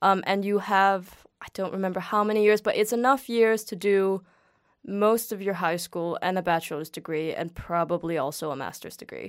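A woman in a Danish accent, medium pitch with ordinary pitch variation and a moderate pace, on a very clean recording with a silent background. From Denmark, greater Copenhagen suburbs. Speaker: guest. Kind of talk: casual chat.

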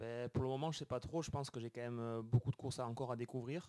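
A man speaks with a Béarn accent. His tone is dark and mellow, with fairly even intonation. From Béarn, southwest France. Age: 20s. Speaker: professional cyclist. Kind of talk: interview.

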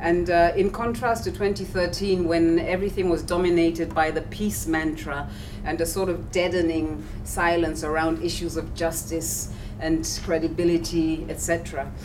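A woman talks at a fairly slow pace in a fairly low pitch, with fairly even intonation. Noticeable background noise and audible room echo fill the recording. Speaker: civil society director. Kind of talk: panel talk.

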